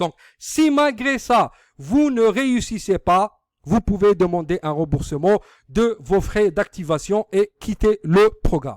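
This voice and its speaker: In an Algerian accent, a man speaks very slowly at a high pitch with lively intonation, in a dry, close sound with no echo. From Algeria, Algiers suburbs. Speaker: online business marketer. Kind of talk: sales pitch. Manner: halting, many hesitations.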